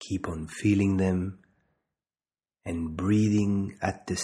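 In a calm, soothing tone, a man with a very deep, low pitch and a dark, mellow voice talks at a very slow pace in a monotone, flat delivery, leaving long, frequent pauses. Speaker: meditation guide and doctor. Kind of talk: guided meditation, calm instructional second-person cues with pauses. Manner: slow, calm, soothing, deliberate pacing with repeated phrases; gentle, soft-spoken, even tone.

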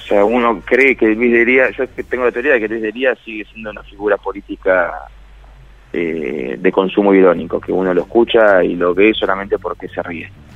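At a moderate pace, a man with an unremarkable speaking voice, fairly low pitch and ordinary pitch variation shows big swings in loudness. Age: 30s. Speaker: writer and columnist. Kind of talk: radio interview.

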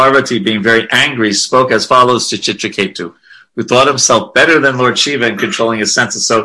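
Intonation stays fairly level throughout. The speaker is reading aloud in a natural voice.

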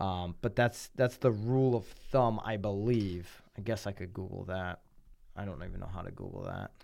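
In a very clean recording with a silent background, a man with a Connecticut accent talks at a moderate pace and fairly low pitch, with ordinary pitch variation and big swings in loudness. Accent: Connecticut, general American. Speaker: podcast and radio host. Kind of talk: casual chat.

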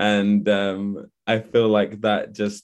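In a London accent, a man talks with monotone, flat intonation and a fairly low pitch against a quiet background. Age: 20s. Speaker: actor. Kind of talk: interview. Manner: hesitant, many fillers.

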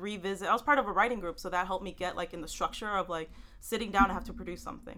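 Over noticeable background noise, a woman talks with a Texan accent. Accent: Texan American English. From Houston, Texas; Salvadoran family. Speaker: writer. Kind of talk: casual interview.

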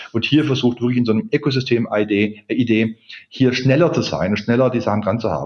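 A man's normal speaking voice at medium pitch, with ordinary pitch variation. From Swabia, southern Germany (Ulm). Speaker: corporate learning expert. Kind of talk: interview.

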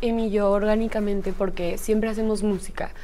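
A woman speaks at a moderate pace with a dark, mellow tone and ordinary pitch variation, and the room echo is audible. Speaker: singer. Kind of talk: interview.

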